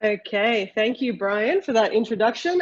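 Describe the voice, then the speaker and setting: Here a woman speaks in an Australian accent. Her pitch is fairly high and her pace fairly quick. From Australia, Sydney. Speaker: ceramic engineer, industry executive. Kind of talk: webinar presentation. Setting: online webinar.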